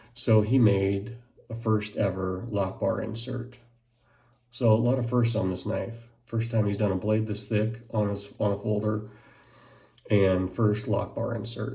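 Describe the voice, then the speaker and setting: A man speaks at a fairly slow pace with vocal fry and a dark, mellow tone. His intonation is flat and monotone, and the room echo is audible. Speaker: knife reviewer. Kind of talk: unboxing video. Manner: mumbling.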